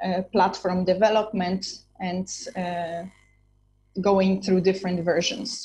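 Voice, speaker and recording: A woman with a dark, mellow, somewhat breathy voice at medium pitch speaks in a flat monotone at a very slow pace, pausing long and often. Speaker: startup entrepreneur and guest lecturer. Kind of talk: lecture.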